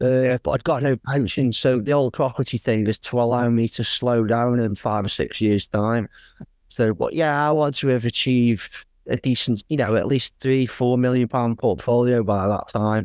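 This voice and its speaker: In a dry, close sound with no echo and a very clean recording against a silent background, a man with an English accent and medium pitch speaks at a moderate pace with fairly even intonation and very even loudness. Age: 40s. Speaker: builder and property investor. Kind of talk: interview. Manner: casual, halting with many fillers.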